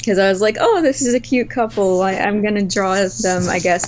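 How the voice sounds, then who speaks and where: With noticeable background noise behind her, a woman of medium pitch speaks with lively intonation. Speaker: artist, visual novel co-creator. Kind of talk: casual interview.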